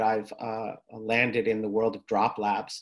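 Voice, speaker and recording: In a quiet background, a man speaks with a New York accent. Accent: New York American. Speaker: therapist and tech entrepreneur; presenter. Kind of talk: lecture. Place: home room. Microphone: webcam.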